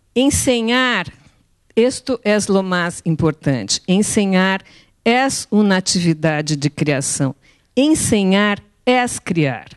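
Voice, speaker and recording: Against a quiet background, a woman speaks at a very slow pace with long, frequent pauses, very wide pitch swings and very even loudness. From Brazil. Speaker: art educator. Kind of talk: conference talk. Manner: halting. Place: hall. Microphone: handheld.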